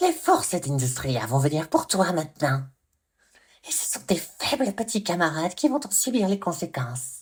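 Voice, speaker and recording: A put-on character voice at middle pitch and a moderate pace. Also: very clean recording, silent background. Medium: read story. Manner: mocking, unhinged.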